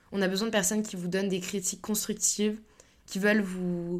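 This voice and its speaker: A woman speaks at a medium pitch with monotone, flat intonation. Her pace is fairly slow. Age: 20s. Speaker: podcast host, business school student. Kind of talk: casual solo monologue.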